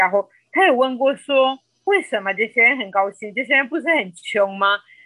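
In a Spanish accent, a woman speaks at a fairly slow pace with a high pitch and a bright, sharp tone. The very clean recording has a silent background and a dry, close sound with no echo. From Colombia. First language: Spanish (speaking Chinese). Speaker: podcast guest. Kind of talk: casual interview chat. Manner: halting, many filler sounds.

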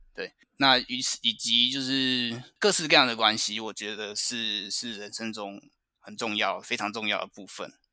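On a very clean recording with a silent background, a man speaks at a moderate pace in a bright, sharp, medium-pitched voice, his intonation fairly even and his loudness swinging widely. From Taiwan. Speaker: finance professional abroad. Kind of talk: interview chat.

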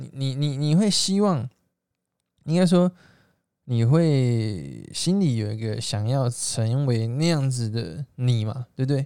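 A man's medium-pitched voice with lively intonation. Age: 20s. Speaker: direct sales entrepreneur. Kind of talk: motivational monologue. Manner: hesitant fillers.

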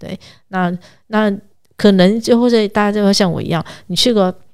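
The voice is a woman's, pitched in the medium range. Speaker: travel and food expert. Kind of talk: casual chat. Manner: fast when excited; animated.

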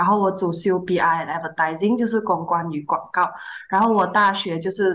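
At a moderate pace, a woman with an unremarkable speaking voice talks at a fairly low pitch and with fairly even intonation. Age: 20s. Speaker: fresh graduate and intern. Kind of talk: casual chat.

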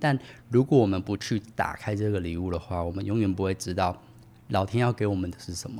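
A man with a fairly low pitch and a dark, mellow tone talks at a fairly quick pace with ordinary pitch variation. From Taiwan, Tainan. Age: 30s. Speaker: podcast guest, former international sales worker. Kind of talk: casual interview.

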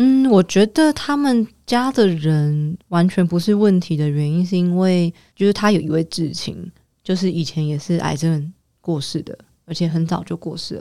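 A woman's calm, dark, mellow voice at a moderate pace, lively in intonation, on a very clean recording with a silent background. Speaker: cancer survivor and social entrepreneur. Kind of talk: interview conversation. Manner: calm and steady.

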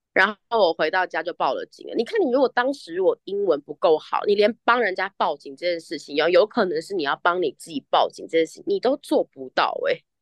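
Her loudness swinging widely, a woman talks at a fairly quick pace with hardly any pauses. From Taiwan, with childhood years in the US. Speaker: guest who studied abroad, living in Australia. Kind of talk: casual chat. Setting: remote call from Australia. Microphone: choppy connection.

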